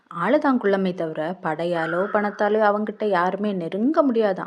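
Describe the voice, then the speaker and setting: A woman with a dark, mellow tone talks using ordinary pitch variation. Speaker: storyteller. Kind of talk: storytelling. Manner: casual, conversational.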